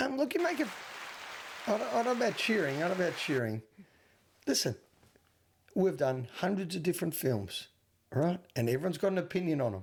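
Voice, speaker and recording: A man with an Australian accent, high-pitched and very fast, with very wide pitch swings and long, frequent pauses. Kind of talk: movie podcast co-host. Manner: defensive, earnest.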